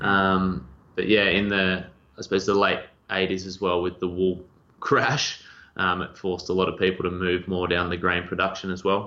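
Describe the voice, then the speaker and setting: The man's tone is bright and sharp over a very deep, low pitch. He speaks in a flat monotone. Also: moderate pace. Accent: Australian. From rural Victoria, Australia. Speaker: agency owner. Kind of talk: podcast interview.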